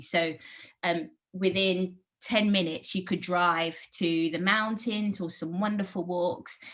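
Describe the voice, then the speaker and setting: This woman has a bright, sharp tone and a fairly low pitch, with a London accent and ordinary pitch variation. The recording is very clean, with a silent background. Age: 40s. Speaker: park programme manager at an art gallery. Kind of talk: interview.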